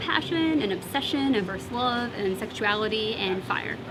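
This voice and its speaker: Over music in the background and with audible room echo, a woman speaks at a fairly high pitch with lively intonation. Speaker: debut novelist. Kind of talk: interview. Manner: halting.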